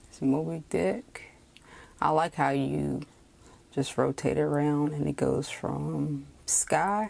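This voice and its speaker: With a Southern US accent, the speaker moves at a very slow pace in a relaxed tone, taking long, frequent pauses. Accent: Southern US drawl. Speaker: fountain pen reviewer. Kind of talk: casual talk to camera. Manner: slow, relaxed.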